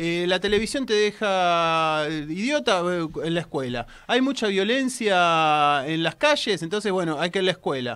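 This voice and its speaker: A man speaks at a high pitch with a bright, sharp tone and lively intonation. His pace is fairly slow, with hardly any pauses. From Argentina. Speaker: technology journalist and radio columnist; technology journalist, radio columnist. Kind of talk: radio column, casual studio chat. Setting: radio studio. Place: studio. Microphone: studio mic.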